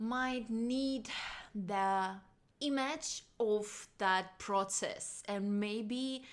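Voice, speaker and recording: A woman speaks with a non-native accent and fairly even intonation. The recording is very clean, and the background is silent. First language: not English. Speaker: singer and vocal coach. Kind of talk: casual vocal lesson talk to camera.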